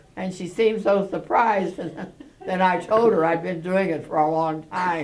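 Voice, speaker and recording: An American accent with fairly even intonation over noticeable background noise. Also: woman, medium pitch for a woman, moderate pace. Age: 80s+. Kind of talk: interview answer.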